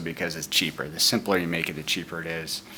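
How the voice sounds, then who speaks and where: A man is speaking. His voice is quiet. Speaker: hobbyist hardware builder. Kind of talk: tutorial. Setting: at home. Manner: speaking quietly; hesitant, many fillers.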